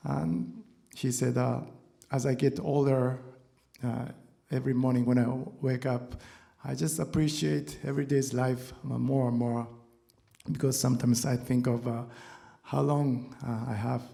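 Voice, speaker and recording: In a room with audible echo, a man with a non-native accent speaks at medium pitch and a fairly slow pace, with ordinary pitch variation and long, frequent pauses. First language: not English. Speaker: guitarist. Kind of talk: on-stage talk between songs. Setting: stage with audience. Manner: halting.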